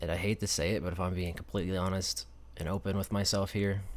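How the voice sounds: A man's low-pitched voice in an American accent, fast-paced with little pitch movement.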